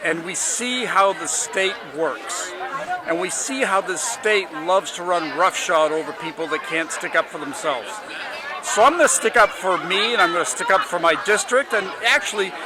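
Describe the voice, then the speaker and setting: A man's high-pitched voice at a moderate pace, lively in intonation, with audible room echo and crowd noise behind him. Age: 70s. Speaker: political candidate. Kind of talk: interview. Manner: halting.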